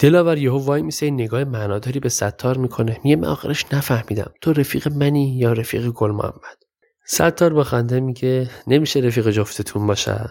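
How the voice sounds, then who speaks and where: This man speaks at a very fast pace. His pitch is medium, with ordinary pitch variation. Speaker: podcast host and storyteller. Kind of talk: storytelling narration.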